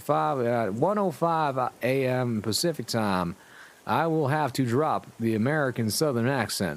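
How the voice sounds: Here the speaker uses a natural reading voice.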